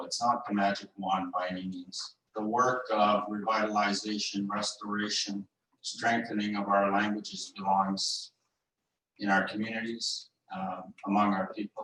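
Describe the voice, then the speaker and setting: A man in a Great Lakes accent, fairly low in pitch, at a fairly slow pace. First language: Anishinaabe. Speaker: legal advisor. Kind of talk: panel talk. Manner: halting, many fillers.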